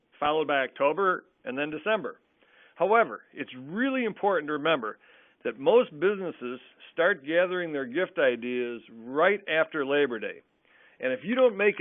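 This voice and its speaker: A man talks at a fairly quick pace with a fairly high pitch. His pitch swings very widely. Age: 60s. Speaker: food gift company owner, webinar presenter. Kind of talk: webinar presentation. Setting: webinar.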